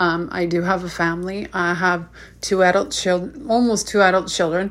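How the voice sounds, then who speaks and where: Speaking fairly slowly, a woman uses a normal speaking voice with fairly even intonation. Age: 30s. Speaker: podcast host. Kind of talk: motivational monologue.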